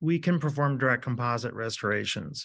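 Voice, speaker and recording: The voice is a man's. Its pitch shifts in an ordinary way. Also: quiet background. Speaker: presenter. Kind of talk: lecture. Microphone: webcam.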